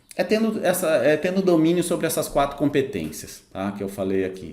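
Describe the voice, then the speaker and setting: Dark, mellow male speech with very wide pitch swings and audible room echo. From interior of São Paulo state, Brazil. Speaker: sales consultant and mentor. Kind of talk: online lesson. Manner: hesitant, many fillers.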